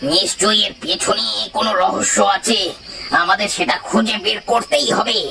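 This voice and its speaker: A man's cartoonish character voice, high in pitch, at a moderate pace over clear background noise. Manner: scornful, scheming.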